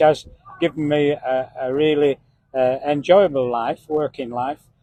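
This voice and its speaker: Speaking at a fairly slow pace, a man uses a monotone, flat intonation in a dry, close sound with no echo. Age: 70s. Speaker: farm machinery sales rep. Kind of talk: casual interview. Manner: hesitant, many fillers.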